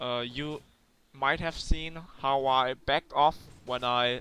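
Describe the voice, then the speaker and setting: A man with a non-native accent speaks in monotone, flat intonation with a bright, sharp tone. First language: not English. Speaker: gaming commentator. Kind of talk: gameplay commentary. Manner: hesitant, many fillers.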